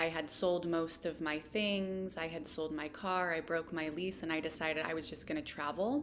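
A woman speaks with a Pacific Northwest accent. Her pace is moderate and her intonation fairly even. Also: fairly low pitch for a woman. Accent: American, Pacific Northwest. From Washington State, US. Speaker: plant medicine practitioner. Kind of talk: interview.

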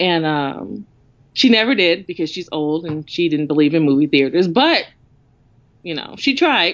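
Speaking at a moderate pace with an animated tone, a woman with an American accent uses a fairly low pitch. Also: lively intonation. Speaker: comic book dealer. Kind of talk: casual chat.

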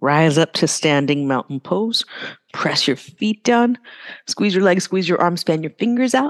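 Her pitch swings very widely as a woman talks at a fairly slow pace with long, frequent pauses, the sound dry and close with no echo. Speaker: yoga teacher. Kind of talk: live yoga class instruction, cueing sun salutations breath by breath. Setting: yoga studio with live class. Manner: rhythmic, clipped breath-paced commands; casual, filler-heavy with frequent 'right?' and 'uh'.

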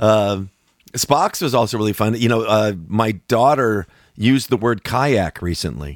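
A man speaks at a fairly slow pace in a plain, everyday voice, his pitch fairly low with ordinary variation, and the sound is dry and close with no echo. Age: 60s. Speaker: musician and podcast host. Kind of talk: casual chat.

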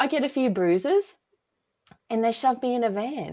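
This woman speaks in an Australian accent. Her pitch is fairly high. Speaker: author and filmmaker. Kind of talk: casual interview chat.

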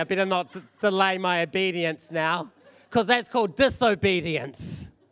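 Loud and animated, a man with a high pitch speaks with lively intonation. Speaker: preacher. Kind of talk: sermon. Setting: church service with congregation.

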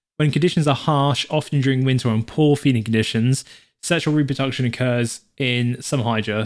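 A man with a British accent speaks at a medium pitch and a fairly quick pace, with ordinary pitch variation. The recording is very clean, its background silent. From UK. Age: 20s. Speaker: podcast co-host. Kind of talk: reading aloud; casual chat.

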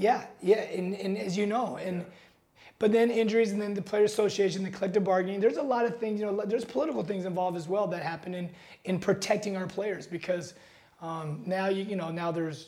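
A man's high voice with an American accent, very fast pace, and noticeable background noise. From Seattle, US Pacific Northwest. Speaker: NBA strength and conditioning coach. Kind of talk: casual interview.

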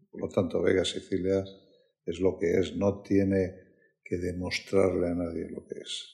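A man speaks with a very deep, low voice at a fairly slow pace, his intonation flat and monotone. His loudness swings widely, his voice is somewhat breathy, and he leaves long, frequent pauses. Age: 60s. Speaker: wine company executive. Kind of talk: interview. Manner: halting.

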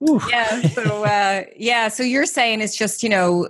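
This woman speaks with an Irish accent and ordinary pitch variation. The sound is dry and close, with no echo. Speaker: radio co-host, social media trainer. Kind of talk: casual chat show.

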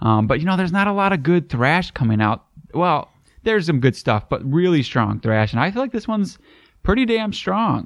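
Pitched high with very wide pitch swings, a man talks at a fairly quick pace with very even loudness on a very clean recording with a silent background. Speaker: metal podcast host. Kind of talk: casual chat.

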